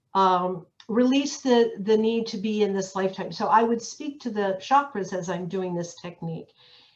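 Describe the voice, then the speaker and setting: Using a plain, everyday voice, a woman talks at a fairly slow pace with ordinary pitch variation. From Pennsylvania, US. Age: 60s. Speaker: end-of-life energy healer. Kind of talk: personal testimony in an online community talk.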